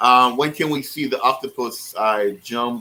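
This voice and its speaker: This man's medium-pitched voice has a bright, sharp tone. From the Caribbean islands. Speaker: aquarium hobbyist YouTuber. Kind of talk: casual chat on a livestream. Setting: online livestream call on laptop. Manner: casual, many fillers and repetitions.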